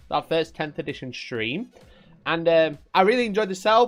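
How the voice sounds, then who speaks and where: This man speaks at a fairly quick pace in a strong Yorkshire accent, his tone animated. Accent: thick Yorkshire. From Yorkshire, England. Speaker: wargaming streamer. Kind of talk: live stream chat. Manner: casual, animated.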